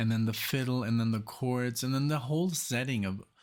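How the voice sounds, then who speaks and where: On a very clean recording with a silent background, a man with a German accent talks at a medium pitch with fairly even intonation. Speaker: music reaction youtuber. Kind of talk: casual music reaction commentary. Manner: halting, many fillers and restarts.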